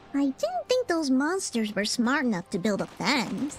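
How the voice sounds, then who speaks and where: Over clear background noise, a female-sounding voice uses a put-on character voice with a high pitch at a moderate pace. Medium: video game. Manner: sarcastic.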